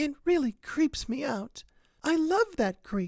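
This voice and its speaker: Using a put-on character voice, the speaker goes fairly slowly at a high pitch with very wide pitch swings. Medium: read story.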